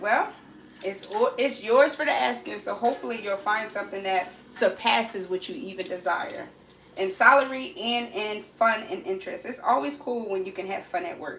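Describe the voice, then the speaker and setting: Speaking at a moderate pace and medium pitch, a woman is heard with audible room echo and noticeable background noise. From Alabama. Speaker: lifestyle livestreamer. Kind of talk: casual livestream chat while cooking. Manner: chatty, repeats phrases.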